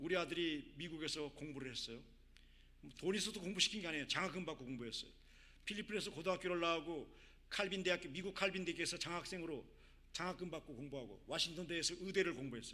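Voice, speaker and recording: This man talks at a very fast pace in a high, bright, sharp voice. His pitch varies in an ordinary way. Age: 60s. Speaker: missionary. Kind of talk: sermon.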